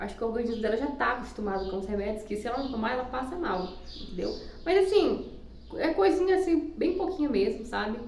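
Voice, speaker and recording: Noticeable background noise runs beneath a woman's speech. Her pitch swings very widely. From Maranhão, Brazil. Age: young. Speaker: homemaker and nursing student. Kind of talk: casual talk to camera.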